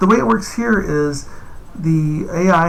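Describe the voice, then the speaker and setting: With audible room echo and noticeable background noise, a man speaks with ordinary pitch variation. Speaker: game developer. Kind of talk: gameplay tutorial. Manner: fast; casual, with fillers.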